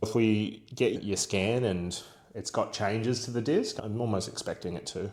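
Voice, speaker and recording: A man with a strong Australian accent and medium pitch, at a moderate pace with fairly even intonation, in a very clean recording with a silent background. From Australia, Werribee (Melbourne). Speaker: clinic owner and physiotherapist vlogger. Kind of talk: vlog and clinical consultation. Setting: clinic. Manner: loud.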